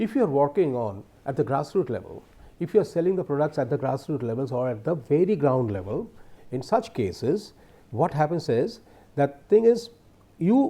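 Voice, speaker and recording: A man speaks with an Indian accent at a moderate pace and a fairly high pitch. His tone is dark and mellow, with very wide pitch swings. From India, not the south. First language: an Indian language other than English. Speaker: professor. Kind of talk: lecture.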